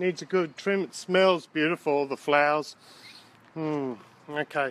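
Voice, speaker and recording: Noticeable background noise behind a man speaking at a fairly high pitch. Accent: Australian. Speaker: gardening vlogger. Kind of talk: tutorial. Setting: outdoors. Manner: loud.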